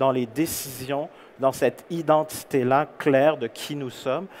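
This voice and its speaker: A man with a Canadian French accent speaks at a very slow pace. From Canada. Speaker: keynote speaker, employer branding consultant. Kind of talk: conference keynote. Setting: stage with audience.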